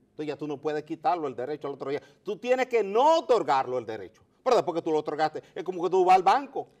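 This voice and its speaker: A high-pitched man at a very fast pace, with very wide pitch swings and big swings in loudness against a quiet background. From Dominican Republic. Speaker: geologist and mining engineer; interview guest. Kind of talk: interview. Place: studio. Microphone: lapel.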